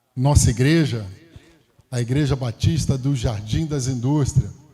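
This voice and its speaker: A somewhat breathy voice with a dark, mellow tone. Its pace is fairly slow, and its pitch variation is ordinary. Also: man. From Brazil, Rio de Janeiro (Campo Grande). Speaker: pastor. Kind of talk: sermon. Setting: church.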